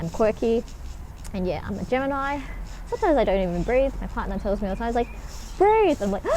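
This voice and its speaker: Speech runs at a very fast pace with lively intonation, broken by long, frequent pauses. Noticeable background noise sits underneath. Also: woman, fairly high pitch for a woman. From Australia. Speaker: spiritual vlogger. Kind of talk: casual vlog monologue. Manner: sometimes slurred, mispronounces words.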